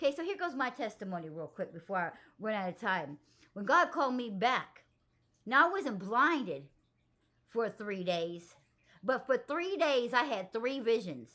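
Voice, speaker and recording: Against a silent background in a very clean recording, a woman speaks at a moderate pace and a fairly high pitch with a bright, sharp tone. Her pitch swings very widely, and she leaves long, frequent pauses. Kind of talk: testimony. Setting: outdoors gardening. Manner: halting, self-correcting; speaks backwards due to dyslexia.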